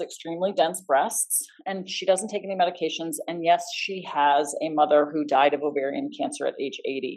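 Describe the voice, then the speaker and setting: Speaking at a fairly quick pace with hardly any pauses, a woman uses lively intonation at a medium pitch. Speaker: physician. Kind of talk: lecture. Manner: fast.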